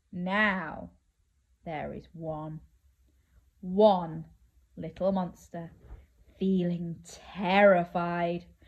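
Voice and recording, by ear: At a very slow pace with long, frequent pauses, a woman speaks at a fairly low pitch with fairly even intonation.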